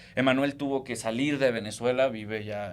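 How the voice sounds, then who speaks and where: The intonation is monotone and flat. Room echo is audible. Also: man. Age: 30s. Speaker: lawyer and political analyst. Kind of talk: political discussion on a podcast.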